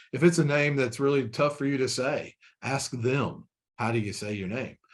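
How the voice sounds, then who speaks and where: A man with a Kentucky accent speaks at a medium pitch and moderate pace, with ordinary pitch variation. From Kentucky (Frankfort). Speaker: corporate trainer. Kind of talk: webinar training presentation. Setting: online webinar. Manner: conversational with many fillers and repetitions.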